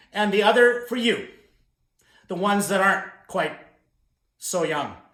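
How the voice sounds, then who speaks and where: With a western Canadian accent, a man speaks in a bright, sharp tone at a high pitch, his pitch varying in an ordinary way amid audible room echo. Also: moderate pace. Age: 60s. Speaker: motivational speaker. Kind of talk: keynote talk to camera. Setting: recorded video. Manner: animated.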